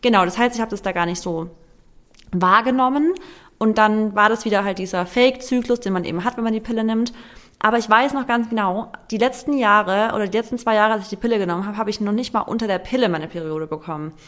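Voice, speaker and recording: Talking at a very fast pace, a woman with a fairly high pitch and ordinary pitch variation is heard on a very clean recording with a silent background. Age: 30s. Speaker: content creator and nutrition coach. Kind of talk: casual chat.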